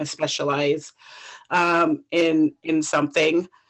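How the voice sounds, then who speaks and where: This woman has an American accent. Her pitch sits fairly low. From Jamaica. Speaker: sommelier and wine consultant. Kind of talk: casual chat.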